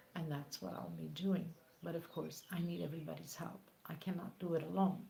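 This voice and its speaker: A woman speaks with a non-native accent. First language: not English. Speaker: crochet tutorial creator. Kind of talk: live stream chat. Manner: halting.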